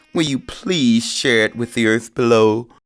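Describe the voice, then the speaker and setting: A man puts on a character voice at a medium pitch. He keeps to a moderate pace. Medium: read story. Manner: bold, bragging.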